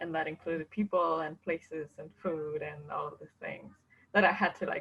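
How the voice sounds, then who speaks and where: A fairly low-pitched woman with a Spanish accent and fairly even intonation. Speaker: international student. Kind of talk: testimony. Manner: halting.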